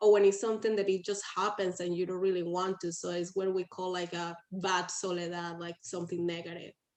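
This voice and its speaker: A woman with a Spanish accent speaks at a medium pitch and a fairly quick pace, with hardly any pauses and monotone, flat intonation. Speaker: workshop participant. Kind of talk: group discussion.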